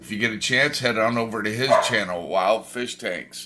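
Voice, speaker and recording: With a bright, sharp, animated tone, a man speaks at a medium pitch with ordinary pitch variation in a very clean recording against a silent background. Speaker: aquarium hobbyist vlogger. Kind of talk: casual vlog.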